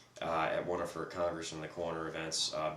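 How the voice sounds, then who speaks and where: A man talks at a moderate pace, with audible room echo in the recording. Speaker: podcast co-host. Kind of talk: casual discussion. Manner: speaking as loud as possible.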